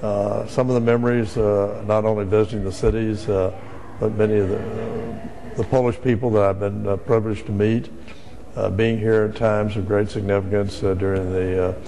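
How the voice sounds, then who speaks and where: A man with an American accent talks at a fairly low pitch and a fairly quick pace in a monotone, flat intonation. Noticeable background noise and audible room echo fill the recording. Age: 60s. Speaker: ambassador. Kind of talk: interview. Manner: halting, many filler words.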